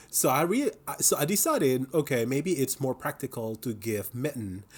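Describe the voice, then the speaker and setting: Lively intonation from a somewhat breathy man with an Indonesian accent. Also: medium pitch for a man, moderate pace. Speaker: knitting podcaster. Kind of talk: casual video podcast chat. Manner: hesitant, many fillers.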